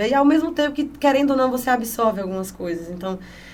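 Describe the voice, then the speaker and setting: The speech moves at a very fast pace with lively intonation. Audible room echo surrounds it. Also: woman. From Piauí, northeastern Brazil. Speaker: honey sommelier and entrepreneur. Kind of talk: podcast interview. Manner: animated.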